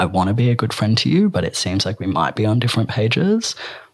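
A man with an Australian accent, fairly low in pitch, at a fairly quick pace. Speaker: writer, performer and gender educator. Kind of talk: casual interview.

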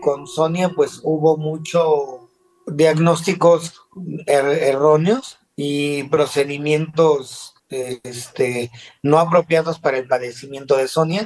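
A man talks at a very slow pace. His pitch is fairly high, with fairly even intonation. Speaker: dental implant surgeon. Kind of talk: interview. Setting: video call.

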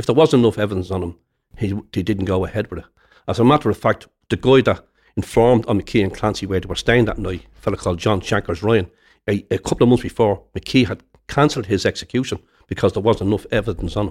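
In a Dublin accent, a man talks at a very fast pace with a fairly low pitch, recorded very cleanly against a silent background. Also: ordinary pitch variation. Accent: Dublin Irish. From Dublin inner city, Ireland. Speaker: retired soldier and historian. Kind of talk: interview.

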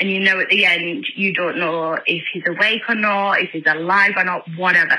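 A woman talks in a strong northern English accent. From northern England. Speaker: caller leaving voicemail. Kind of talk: voicemail message. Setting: phone call. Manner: hesitant, many ums.

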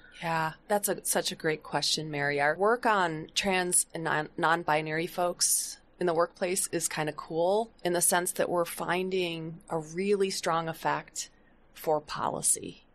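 With an American accent, a woman uses an ordinary speaking voice at a fairly low pitch, speaking at a fairly slow pace with fairly even intonation and very even loudness. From US Midwest, Flint, Michigan. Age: 60s. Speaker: sociology professor. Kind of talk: podcast interview.

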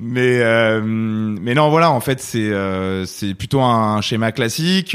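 A man speaks at a medium pitch. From France, Versailles area. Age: 30s. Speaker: video game company founder. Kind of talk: interview. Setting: in person at his company's office. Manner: hesitant, many fillers.

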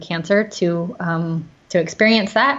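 A woman is speaking. Her pitch is fairly low. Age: 40s. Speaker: nonprofit CEO and founder. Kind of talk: interview. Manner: hesitant fillers.

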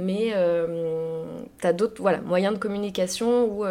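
A woman's medium-pitched voice with fairly even intonation, plus noticeable background noise. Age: 30s. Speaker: interior decorator. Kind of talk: interview. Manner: hesitant, many fillers.

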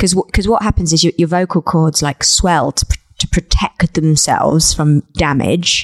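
A woman speaks in a plain, everyday voice at a moderate pace with hardly any pauses. Her intonation is fairly even, and the sound is dry and close with no echo. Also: fairly low pitch for a woman, very even loudness. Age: 30s. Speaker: singer-songwriter and author. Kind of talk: casual interview chat.

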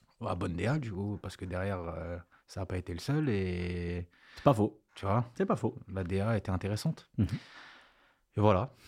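In a very clean recording with a silent background, a somewhat breathy man with a fairly low pitch speaks at a moderate pace, with ordinary pitch variation and long, frequent pauses. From grew up abroad, 'au bled'. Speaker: music producer. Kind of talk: casual interview chat.

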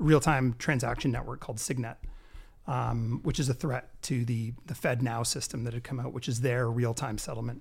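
Somewhat breathy delivery at a moderate pace, with a Canadian accent. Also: man. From Canada. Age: 40s. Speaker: health and wellness entrepreneur, crypto enthusiast. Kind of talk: casual chat.

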